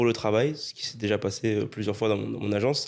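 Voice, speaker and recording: With a medium pitch and monotone, flat intonation, a man speaks in a very clean recording with a silent background. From Réunion island. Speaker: webinar agency owner, guest. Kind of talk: casual interview chat.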